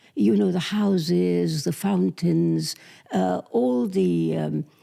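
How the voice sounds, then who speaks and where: A woman with a British accent talks at a very slow pace, keeping her loudness very even. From England. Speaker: author. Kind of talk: interview. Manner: halting.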